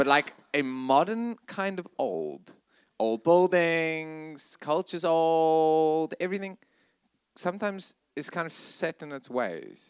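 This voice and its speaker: Over a very clean recording with a silent background, a man with a South African accent speaks at a very slow pace and fairly high pitch, with ordinary pitch variation and big swings in loudness. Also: dry, close sound with no echo. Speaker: ministry leader. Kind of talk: panel discussion.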